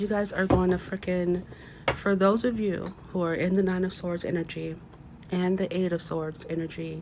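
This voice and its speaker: A woman at a medium pitch and moderate pace, monotone and flat in intonation, over noticeable background noise. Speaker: tarot reader. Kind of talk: tarot reading. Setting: at home, window open.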